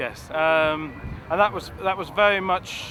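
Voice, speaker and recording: A man speaks with a Welsh accent and ordinary pitch variation. Noticeable background noise runs under his voice. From Wales. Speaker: kite designer and flyer. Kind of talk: interview. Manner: halting, with many repeated words.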